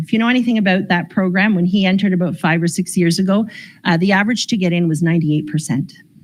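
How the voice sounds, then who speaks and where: A somewhat breathy woman at a medium pitch, with ordinary pitch variation, against a quiet background. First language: Croatian. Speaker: school board special education presenter. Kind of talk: information session presentation. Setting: in-person session, livestreamed.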